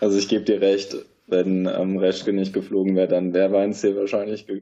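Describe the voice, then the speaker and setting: This man's fairly low voice stays monotone and flat while he talks at a moderate pace. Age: 20s. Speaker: sports journalist. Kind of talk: casual chat.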